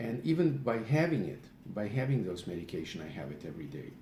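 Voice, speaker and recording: Somewhat breathy, a man speaks at a moderate pace with very wide pitch swings and audible room echo. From Eastern Europe. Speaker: patient sharing health remedy. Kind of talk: personal testimony video. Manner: halting, many fillers.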